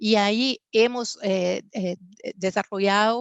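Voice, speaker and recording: A woman with a Portuguese accent speaks at a medium pitch with fairly even intonation. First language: Portuguese (speaking Spanish). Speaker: business executive, panelist. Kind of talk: panel discussion. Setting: virtual conference. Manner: hesitant, frequent fillers.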